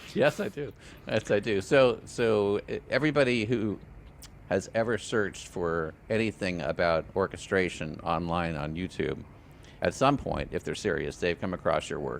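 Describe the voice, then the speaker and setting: A man's fairly low-pitched voice at a moderate pace. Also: lively intonation. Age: 60s. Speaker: podcast host. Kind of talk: interview. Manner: halting.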